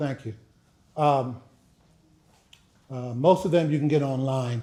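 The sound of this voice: A man speaks at a medium pitch with a dark, mellow tone and ordinary pitch variation.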